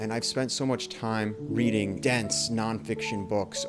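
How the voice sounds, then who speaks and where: Music plays in the background while a man speaks with lively intonation. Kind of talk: casual reflective monologue to camera. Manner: thoughtful, somewhat halting with repeated words.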